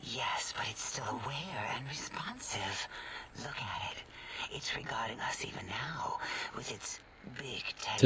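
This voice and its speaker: A man whispers in a put-on character voice. Loud noise fills the background. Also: moderate pace. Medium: game stream. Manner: soft, soothing.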